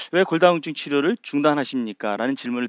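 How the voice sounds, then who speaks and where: Very clean recording of a man pitched fairly high, against a silent background. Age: 60s. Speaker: endocrinology professor and physician. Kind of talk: public talk on stage. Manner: frequent filler pauses.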